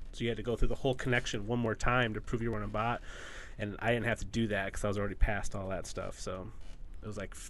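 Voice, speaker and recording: A man speaks in a medium pitch at a very fast pace. His intonation is flat and monotone. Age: 30s. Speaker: podcast co-host. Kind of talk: casual chat.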